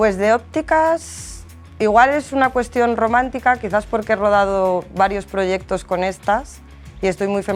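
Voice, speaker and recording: Music plays in the background. A woman speaks over it at a fairly slow pace. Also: medium pitch for a woman, ordinary pitch variation. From El Bierzo, León, Spain. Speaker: focus puller. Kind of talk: interview answer.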